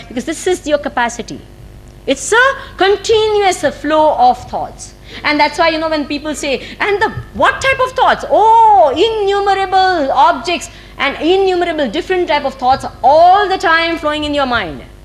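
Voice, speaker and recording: In an Indian accent, a woman speaks at an extremely high pitch, with very wide pitch swings. Noticeable background noise can be heard. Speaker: spiritual teacher. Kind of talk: spiritual discourse. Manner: fast.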